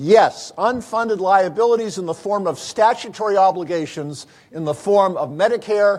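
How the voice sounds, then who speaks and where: At a moderate pace, a man speaks in a high pitch. His pitch variation is ordinary. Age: 60s. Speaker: physician keynote speaker. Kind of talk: keynote lecture. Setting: conference stage with audience. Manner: animated, asks audience questions.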